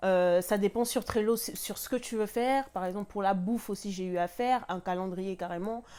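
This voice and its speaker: A woman speaks with hardly any pauses in a dark, mellow tone. Her pitch variation is ordinary. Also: moderate pace. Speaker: lifestyle vlogger; vlogger. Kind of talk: casual tutorial vlog. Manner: hesitant, many fillers. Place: home room.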